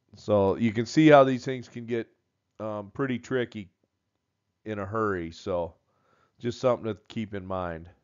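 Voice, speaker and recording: A man speaks at a moderate pace in a fairly low voice, with ordinary pitch variation. His loudness swings widely, and he leaves long, frequent pauses. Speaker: welding instructor. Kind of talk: tutorial. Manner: halting, filler words.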